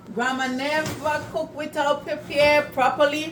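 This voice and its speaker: With noticeable background noise, a woman talks fairly slowly. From Saint Vincent and the Grenadines. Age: old. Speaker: cooking video host. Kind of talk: cooking tutorial. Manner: casual, conversational.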